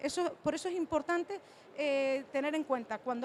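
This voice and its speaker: A woman with a Canarian accent speaks at a moderate pace. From Canary Islands, Spain. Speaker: cardiologist. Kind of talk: conference talk.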